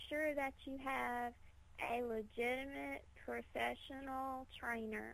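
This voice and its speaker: A woman with a Mississippi accent speaks at a very slow pace. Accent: Southern US (Mississippi). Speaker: professional wrestler. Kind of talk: radio interview.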